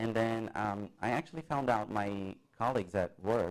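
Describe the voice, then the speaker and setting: He speaks with a Portuguese accent at a fairly low pitch. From Brazil. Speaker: college theater student. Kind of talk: interview. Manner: halting.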